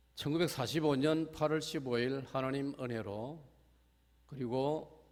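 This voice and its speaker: Audible room echo follows a man speaking very slowly at a medium pitch with ordinary pitch variation. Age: 70s. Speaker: retired pastor. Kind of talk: sermon. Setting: church.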